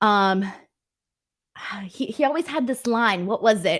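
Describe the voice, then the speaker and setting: The speaker is a woman at medium pitch. She has a Californian accent. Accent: Californian, Valley girl. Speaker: live streamer reading chat; former co-host of a show.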